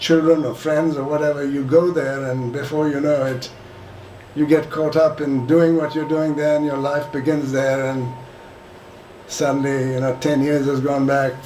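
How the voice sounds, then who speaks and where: Over noticeable background noise and audible room echo, a man with a fairly high voice speaks at a moderate pace in a monotone, flat intonation, leaving long, frequent pauses. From India. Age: 80s+. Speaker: retired businessman sharing family history. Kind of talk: casual reminiscing talk to a group. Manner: halting.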